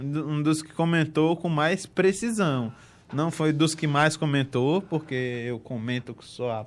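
In a very clean recording with a silent background, a man speaks fairly slowly at a fairly high pitch, using ordinary pitch variation. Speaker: football podcast host. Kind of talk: casual chat.

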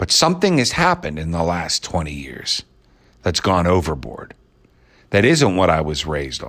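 With an American accent and a very deep, low pitch, a man speaks in an animated tone with lively intonation and vocal fry, captured in a very clean recording with a silent background. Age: 50s. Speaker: podcast host. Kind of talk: opinion monologue.

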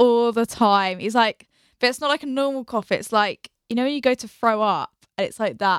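On a very clean recording with a silent background and a dry, close sound with no echo, a woman with a British accent speaks at a fairly high pitch and a moderate pace with ordinary pitch variation. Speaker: podcast host. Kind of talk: casual chat.

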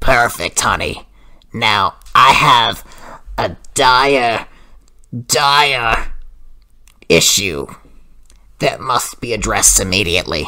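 A put-on character voice, raspy and low-to-middle in pitch, moves at a very slow pace. Long pauses come often. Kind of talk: comic overacting prank call. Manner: sweet, calls everyone honey.

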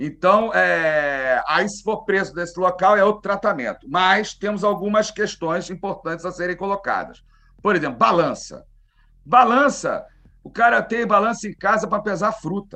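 A man speaks in a raised, projected voice with a high pitch. His tone is bright and sharp, with ordinary pitch variation at a moderate pace. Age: 50s. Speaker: criminal lawyer and cannabis activist. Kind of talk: casual interview.

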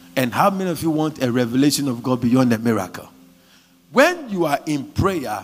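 A man's fairly high-pitched voice, an ordinary speaking voice, carries lively intonation at a moderate pace. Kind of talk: fervent charismatic prayer led over a congregation, with tongues and decrees. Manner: urgent, rhythmic and insistent, exhorting the crowd to pray aloud.

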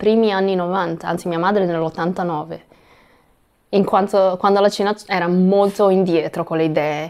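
Her intonation fairly even, a woman talks at medium pitch. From Italy (Ancona), Chinese-Italian family. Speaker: guest, mother of two. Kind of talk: casual chat. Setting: recording in Portugal near Lisbon.

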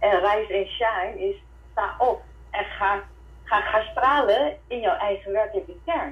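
A woman's fairly high, lively voice at a fairly slow pace, a plain, everyday voice. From Suriname (Hindustani). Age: 50s. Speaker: holistic coach and energy worker. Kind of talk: casual interview. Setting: online call.

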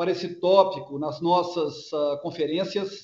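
A man is talking. His pace is fairly slow. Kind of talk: earnings call presentation and Q&A. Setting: video conference.

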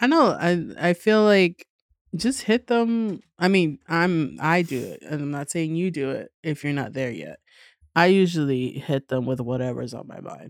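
A woman's fairly low voice in a New York accent, fairly slow, with lively intonation. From New York City, Queens. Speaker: comedian. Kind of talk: casual chat. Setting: studio. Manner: animated.

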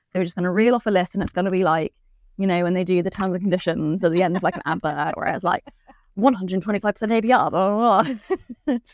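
A woman with a British accent talks very fast at a medium pitch with ordinary pitch variation, recorded dry and close with no echo. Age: 30s. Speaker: podcast host, breast cancer survivor. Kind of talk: casual chat.

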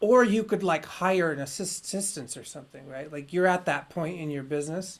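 An ordinary speaking voice belongs to a woman with fairly low pitch and ordinary pitch variation, moving at a fairly quick pace. Her loudness swings widely on a very clean recording with a silent background. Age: 40s. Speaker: podcast host. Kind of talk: casual chat.

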